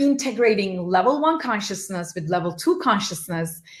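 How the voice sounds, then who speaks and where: Lively intonation from a woman, her voice somewhat breathy. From Turkey. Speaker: motivational speaker. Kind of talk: talk to audience.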